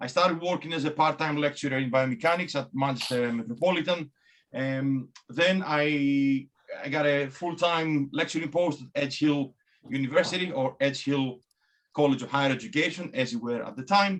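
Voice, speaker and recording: This man has a strong Greek accent and a fairly high pitch. He talks at a moderate pace with ordinary pitch variation. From Greece. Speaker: biomechanics academic. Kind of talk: talk presentation. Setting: video call. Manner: hesitant, many fillers and repeats.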